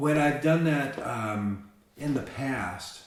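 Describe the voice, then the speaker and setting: A man talks amid clear background noise, his voice picking up audible echo from the room. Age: 60s. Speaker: musician and songwriter. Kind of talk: interview. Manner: halting, many restarts and repeated words.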